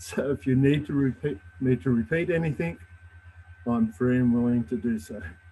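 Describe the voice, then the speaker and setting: A man's medium-pitched voice with an Australian accent, lively intonation and a moderate pace. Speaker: judicial job applicant, air force veteran. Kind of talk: job interview. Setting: public meeting, live stream. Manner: formal.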